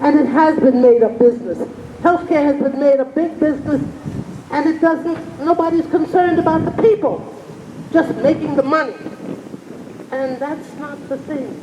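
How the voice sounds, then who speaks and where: A woman with an American accent speaks at a moderate pace in a high pitch with ordinary pitch variation, leaving long, frequent pauses over noticeable background noise. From New York City. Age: 80s+. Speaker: community member at public forum. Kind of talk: public speech at community forum. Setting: outdoors at public forum. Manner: impassioned.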